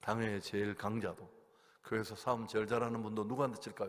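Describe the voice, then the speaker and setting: A very fast-talking man with a fairly low voice. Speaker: guest pastor preaching at revival meeting. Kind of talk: sermon. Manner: animated storytelling.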